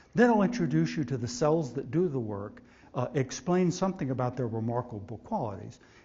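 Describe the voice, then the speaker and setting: Speaking at a moderate pace, a man with an American accent has a medium pitch, a somewhat breathy voice and lively intonation. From Texas. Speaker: scientist. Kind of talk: lecture.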